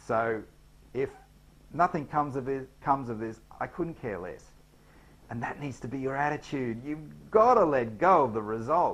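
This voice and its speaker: An Australian accent at a moderate pace. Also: man. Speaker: business trainer. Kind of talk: tutorial. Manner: hesitant, many fillers.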